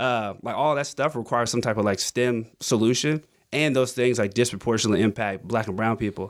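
Recorded very cleanly against a silent background, a man speaks fairly quickly in a plain, everyday voice at medium pitch with fairly even intonation. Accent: American. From US South, Augusta, Georgia. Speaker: nonprofit founder and former teacher. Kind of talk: casual interview. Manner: casual, filler-heavy.

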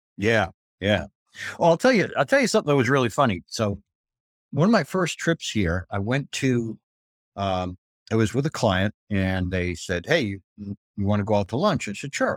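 Recorded dry and close with no echo, a man with an ordinary speaking voice talks at a fairly low pitch with lively intonation. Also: moderate pace. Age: 60s. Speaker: email marketing agency CEO. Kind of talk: casual chat. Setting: video call.

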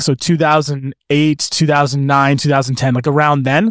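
On a very clean recording with a silent background, a man with a Canadian accent and a fairly high pitch speaks at a moderate pace in a plain, everyday voice, the sound dry and close with no echo. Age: 30s. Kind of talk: casual chat.

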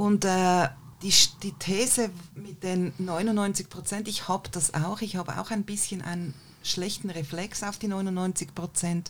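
A woman at medium pitch, somewhat breathy, with fairly even intonation and a very slow pace. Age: 50s. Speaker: podcast producer and co-host. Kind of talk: panel discussion.

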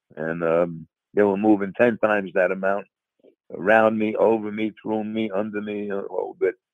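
In a New York accent, a man talks with monotone, flat intonation. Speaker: retired DEA agent.

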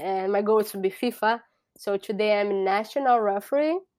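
Spoken with a Brazilian Portuguese accent and ordinary pitch variation, the recording is very clean with a silent background. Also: woman. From Brazil, Sao Paulo. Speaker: soccer referee. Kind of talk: interview. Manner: halting.

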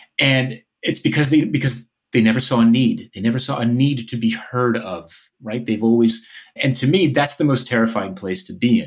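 A man with an American accent speaks at a moderate pace and medium pitch, with ordinary pitch variation and big swings in loudness. He has an ordinary speaking voice. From New Jersey, outside New York City. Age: 40s. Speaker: author and organizational consultant. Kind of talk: interview.

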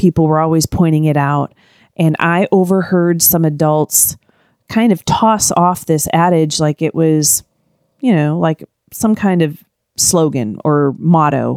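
The sound is dry and close with no echo, on a very clean recording with a silent background, showing very even loudness and ordinary pitch variation. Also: woman, very deep, low pitch for a woman, fairly slow pace. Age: 50s. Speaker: podcaster doing a personal challenge diary. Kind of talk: solo personal audio diary, reflective monologue. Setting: recording at home with a pug snoring nearby. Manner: reflective, candid, conversational.

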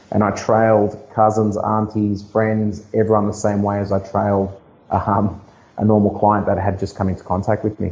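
Speaking with an Australian accent, a man uses a fairly low, somewhat breathy voice at a moderate pace with monotone, flat intonation. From Sydney, Australia (Blacktown, western Sydney). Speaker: real estate agent. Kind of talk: interview. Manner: halting.

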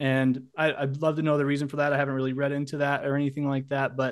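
A man with a fairly high pitch speaks with monotone, flat intonation against a quiet background. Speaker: sports website owner. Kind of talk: panel discussion. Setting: video call.

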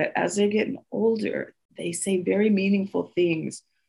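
A woman with a plain, everyday voice, a moderate pace and ordinary pitch variation. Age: 50s. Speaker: presenter for a mothers' civic organization. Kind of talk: online lecture presentation. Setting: online video meeting. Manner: warm, conversational with laughter.

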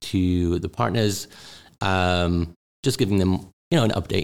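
A man's very deep, low voice, fairly even in intonation, at a very slow pace, on a very clean recording with a silent background. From Newcastle, northeast England. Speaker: venture capital partner. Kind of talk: casual interview chat. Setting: studio.

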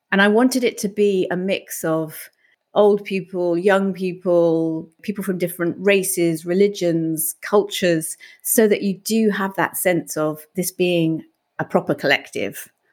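Delivered at a fairly slow pace with fairly even intonation, the speech comes in a British accent on a very clean recording with a silent background. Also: woman, medium pitch for a woman. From UK. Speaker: life coach and podcast host. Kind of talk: interview.

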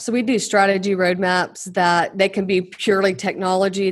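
A woman with an American accent, medium pitch, and an ordinary speaking voice. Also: quiet background. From Oklahoma. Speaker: executive coach and consultant. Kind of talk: interview.

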